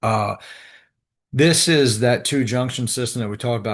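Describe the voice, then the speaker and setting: A man's voice, medium in pitch, comes through with a quiet background. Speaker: respiratory therapy instructor. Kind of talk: lecture. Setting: video call. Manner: fast; halting.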